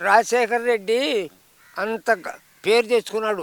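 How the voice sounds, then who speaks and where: A man's extremely high-pitched, raised and projected voice, bright and sharp in tone, animated, with a dry, close sound and no echo. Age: 80s+. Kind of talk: street interview answer. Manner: animated, scornful.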